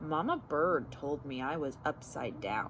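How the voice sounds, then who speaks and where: A woman puts on a character voice with a very deep, low pitch. She speaks fairly slowly over clear background noise. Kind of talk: bedtime story. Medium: read story.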